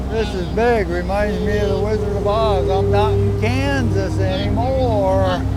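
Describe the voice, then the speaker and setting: A man with an American accent and a very deep, low pitch, his very wide pitch swings and very even loudness at a fairly slow pace with hardly any pauses, amid audible room echo and noticeable background noise. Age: 70s. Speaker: farmer. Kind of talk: documentary interview.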